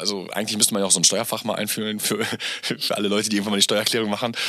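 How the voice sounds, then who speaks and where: This is a man speaking. His pitch is fairly low. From Germany, Gütersloh near Bielefeld. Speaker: entrepreneur, podcast guest. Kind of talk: casual interview chat. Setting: home studio. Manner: animated, loud; hesitant, repeating words.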